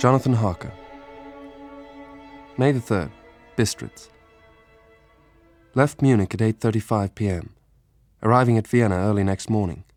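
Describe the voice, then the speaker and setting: A man talks at a moderate pace with a fairly low pitch, ordinary pitch variation and long, frequent pauses. The sound is dry and close with no echo, and music plays in the background. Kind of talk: audiobook reading.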